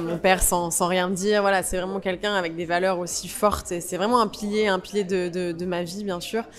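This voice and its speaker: Noticeable background noise surrounds a woman's voice. She talks at a fairly quick pace in a monotone, flat intonation. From Provence, France. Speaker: actress. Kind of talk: interview. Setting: festival interview. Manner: hesitant, many fillers.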